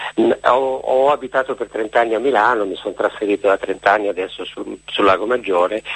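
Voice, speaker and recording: Over noticeable background noise, a man with a fairly low pitch talks at a fairly quick pace with ordinary pitch variation and hardly any pauses. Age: 60s. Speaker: middle school teacher. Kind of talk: phone-in call. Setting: phone call.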